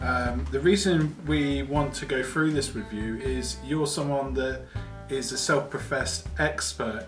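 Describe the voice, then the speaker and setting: Music plays in the background behind a man. He talks at a fairly slow pace, with very wide pitch swings. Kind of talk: mock-documentary interviewer questions.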